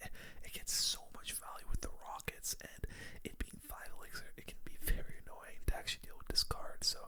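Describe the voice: Someone is whispering at a fairly quick pace.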